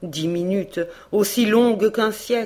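With ordinary pitch variation, this is reading aloud in a natural voice.

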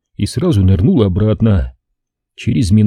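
Over a quiet background, the speaker uses an unforced reading voice with ordinary pitch variation.

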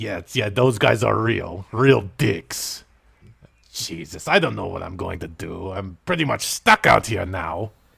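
A man's raspy, fairly low put-on character voice at a fairly slow pace, in a very clean recording with a silent background. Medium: audio drama.

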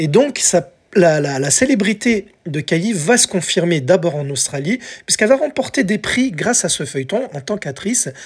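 A very clean recording, silent in the background, with speech at a moderate pace. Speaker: podcast host. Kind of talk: casual solo podcast narration. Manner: halting.

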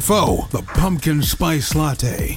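A man puts on a booming character voice at a fairly high pitch. Clear background noise can be heard behind him. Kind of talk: grandiose, mock-epic host speech.

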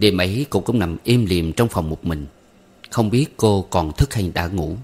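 With lively intonation and a slightly mellow tone, a low-pitched man talks at a moderate pace.

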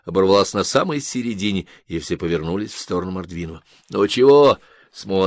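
Someone is reading aloud in a natural voice. Lively intonation marks the delivery.

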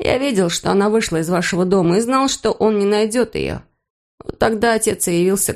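Against a quiet background, the passage is read aloud in a natural voice with ordinary pitch variation.

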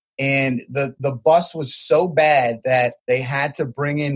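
A man's fairly high voice with an American accent at a very slow pace, dry and close with no echo. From New Jersey. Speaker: college basketball head coach. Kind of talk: interview.

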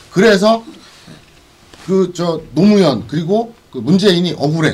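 Amid noticeable background noise, a man talks at a fairly slow pace in a high pitch. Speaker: live stream co-host. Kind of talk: casual live political talk show. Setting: live stream broadcast.

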